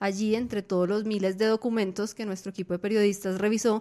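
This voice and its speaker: A woman speaks at a fairly quick pace in a medium pitch. Her intonation is monotone and flat. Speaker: news podcast host and editor. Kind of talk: news podcast discussion. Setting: studio.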